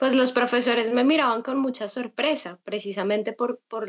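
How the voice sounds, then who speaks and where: A woman speaks with a Bogotá accent. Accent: sounds like a Bogotá speaker. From Colombia, Bucaramanga (Santander). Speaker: visual artist, painter. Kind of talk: interview conversation.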